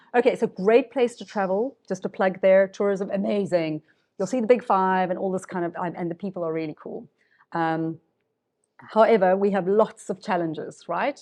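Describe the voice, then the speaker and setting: A woman with a medium pitch and a dark, mellow tone speaks at a moderate pace with ordinary pitch variation and big swings in loudness against a quiet background. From South Africa. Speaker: circular economy professional. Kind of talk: panel Q&A.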